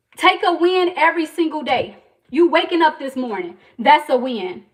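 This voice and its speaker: A loud woman speaks in an American accent at a high pitch, her intonation lively. Her tone is passionate and her pace moderate. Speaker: entrepreneur livestreamer. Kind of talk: motivational faith talk on livestream. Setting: livestream. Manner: loud, passionate.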